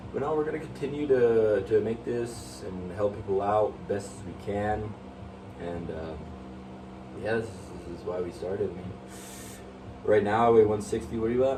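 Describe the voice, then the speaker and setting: A fairly low-pitched man at a moderate pace with long, frequent pauses, lively intonation and big swings in loudness, plus audible room echo and noticeable background noise. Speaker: fitness YouTuber. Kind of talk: casual chat. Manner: halting.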